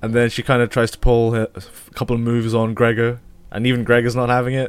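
Over music in the background, a man rattles on at a very fast pace in a flat monotone, broken by long, frequent pauses. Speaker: film podcast co-host. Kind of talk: casual film review chat. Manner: laid-back, laughing.

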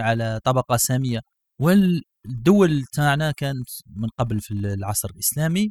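The sound is dry and close with no echo as a man speaks in a somewhat breathy voice. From Algeria. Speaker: podcast host. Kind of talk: casual chat.

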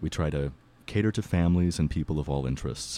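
The tone is dark and mellow, with ordinary pitch variation. The recording is very clean, with a silent background. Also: man. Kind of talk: casual interview. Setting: radio studio.

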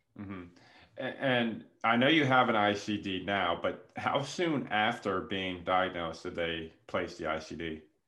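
A man speaks fairly slowly in a fairly low pitch with lively intonation, and the room echo is audible. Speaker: podcast host and nonprofit founder. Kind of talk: interview.

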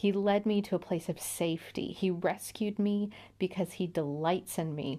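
A woman talks at a moderate pace and a medium pitch. Her tone is dark and mellow. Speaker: podcast host reading scripture. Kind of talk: scripture reading with personal commentary. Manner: measured, earnest reading of psalm-like verses; casual, enthusiastic, lightly self-deprecating.

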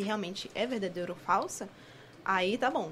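A woman with a Carioca accent at a moderate pace. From Rio de Janeiro. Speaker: co-host reading live comments. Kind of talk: casual chat.

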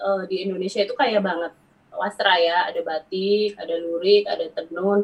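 This woman has a strong Javanese accent. Her pitch sits in the middle range. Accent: Javanese, medok. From Central Java, Wonosobo. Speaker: ethnic fashion business owner. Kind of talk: casual chat.

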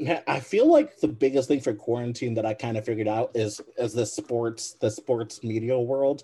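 With an American accent, a man talks at a moderate pace and medium pitch in a somewhat breathy voice with a dark, mellow tone, fairly even intonation and hardly any pauses. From Michigan. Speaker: basketball podcast co-host. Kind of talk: casual interview.

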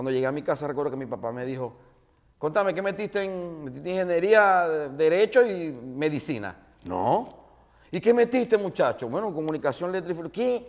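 Speaking at a moderate pace in an animated tone, a man uses a high voice with very wide pitch swings. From Venezuela, Maracaibo. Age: 40s. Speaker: radio host and comedian. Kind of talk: casual interview chat.

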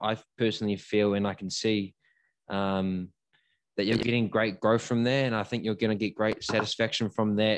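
The speaker has a New Zealand accent and a monotone, flat intonation at a moderate pace. The background is quiet. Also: man, fairly low pitch for a man. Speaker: podcast host. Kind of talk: casual chat.

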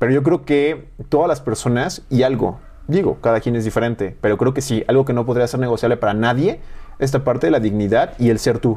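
A man's ordinary speaking voice at a fairly quick pace, with very even loudness and ordinary pitch variation. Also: medium pitch for a man. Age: 20s. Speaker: nutritionist and university program coordinator. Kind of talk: casual interview chat.

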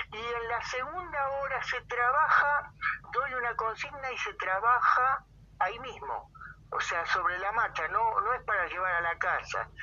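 At an extremely high pitch, a man talks at a fairly slow pace. His pitch swings very widely. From Argentina, Buenos Aires province (Moreno). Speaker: poet and poetry teacher. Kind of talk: interview.

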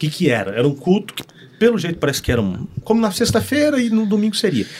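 Racing at a very fast pace, a man's voice makes very wide pitch swings. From northern Paraná, Brazil (Norte Pioneiro). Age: 30s. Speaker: pastor. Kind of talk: casual chat.

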